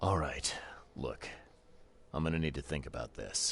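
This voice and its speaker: Over clear background noise, a man uses a put-on character voice at a very deep, low pitch and a moderate pace. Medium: video game. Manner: terse, calm.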